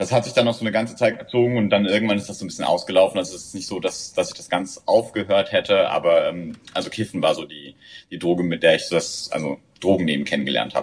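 A man's loudness swings widely as he rushes along at a very fast pace. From southern Germany. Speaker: recreational drug user. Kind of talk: interview.

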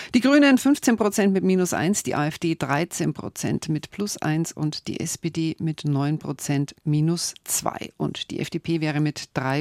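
Heard in a dry, close sound with no echo, a woman speaks in a very deep, low voice with ordinary pitch variation and hardly any pauses. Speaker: radio host. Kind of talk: call-in radio discussion. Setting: radio studio. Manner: brisk pace.

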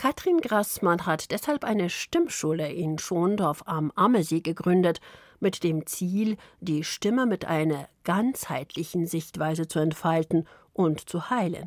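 A woman with a plain, everyday voice, fairly low pitch, ordinary pitch variation and a fairly slow pace. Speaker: radio journalist. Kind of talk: radio feature narration.

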